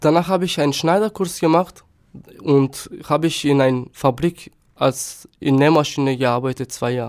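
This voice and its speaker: A man with a Turkish accent, fairly high in pitch, at a moderate pace. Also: ordinary pitch variation. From North Macedonia, Štip. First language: Turkish (speaking German). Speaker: asylum seeker. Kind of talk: interview. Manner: halting.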